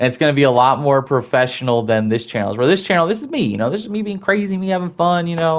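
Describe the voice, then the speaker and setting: A man talks at a very fast pace with hardly any pauses and very wide pitch swings. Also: fairly high pitch for a man. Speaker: gaming youtuber. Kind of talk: casual unscripted vlog. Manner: halting, stuttering.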